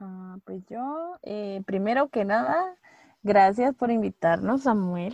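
Speaking very slowly with a Guatemalan accent, a woman uses a medium pitch, lively intonation and big swings in loudness. The sound is dry and close with no echo, against a quiet background. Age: 20s. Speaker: actress and theatre director. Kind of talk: casual chat.

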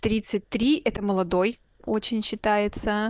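A very slow pace in a dry, close sound with no echo, on a very clean recording with a silent background. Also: woman. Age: 20s. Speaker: medical resident. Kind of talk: interview. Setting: voice messages.

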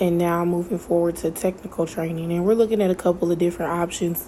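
A woman speaks in a monotone, with flat intonation throughout. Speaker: podcast host. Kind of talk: solo monologue.

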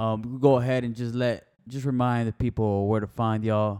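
Monotone, flat intonation at a fairly quick pace, in a very clean recording with a silent background. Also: man. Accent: American. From Miami, Florida. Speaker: podcast co-host. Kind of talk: casual chat.

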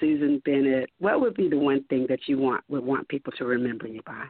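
The woman's intonation is lively throughout. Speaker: actress and singer. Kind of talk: interview. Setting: phone call.

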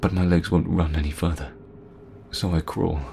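Music plays behind a man whose pitch is very deep and low. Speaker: horror story narrator. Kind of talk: first-person horror story narration, scripted and told as a personal tale. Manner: hushed, suspenseful, building tension with pauses.

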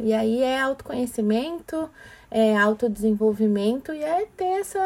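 A woman's dark, mellow voice moves at a fairly slow pace through very wide pitch swings. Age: 40s. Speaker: diversity and emotional intelligence speaker. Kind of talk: casual chat.

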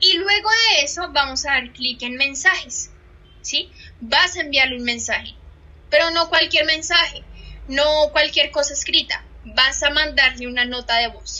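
A high-pitched woman at a fairly slow pace with ordinary pitch variation, noticeable background noise behind her. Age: 20s. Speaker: social media trainer. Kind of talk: online training session. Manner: animated.

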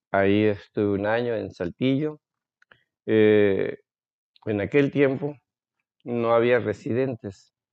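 Long, frequent pauses break up a man's very slow speech. His pitch is fairly low, with ordinary pitch variation. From Veracruz, Mexico. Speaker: ophthalmologist. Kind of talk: interview. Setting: doctor's office. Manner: halting.

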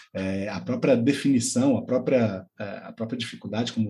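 A man's somewhat breathy, dark and mellow voice at medium pitch and moderate pace. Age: 40s. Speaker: podcast co-host, teacher. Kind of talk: casual chat.

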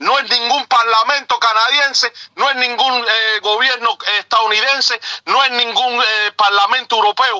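Projected and raised, a man's extremely high-pitched voice moves at a moderate pace with ordinary pitch variation and very even loudness, the sound dry and close with no echo. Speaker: truck driver. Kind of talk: impassioned call-in. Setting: in a truck.

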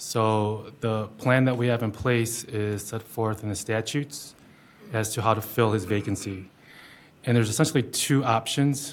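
On a very clean recording with a silent background, a man with medium pitch talks at a moderate pace with fairly even intonation, in an ordinary speaking voice. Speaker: township attorney. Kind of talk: formal briefing at public meeting.

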